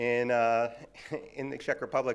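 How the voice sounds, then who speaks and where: A man talks with a New York accent. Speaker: audio measurement industry speaker. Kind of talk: conference presentation.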